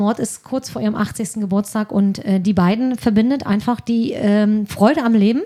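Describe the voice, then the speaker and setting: A woman talks at a moderate pace with hardly any pauses, her pitch fairly high and her pitch variation ordinary. Her voice is somewhat breathy, with a dark, mellow tone. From northeastern Germany (Mecklenburg-Vorpommern). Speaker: social worker, volunteer at a film club. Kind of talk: casual chat.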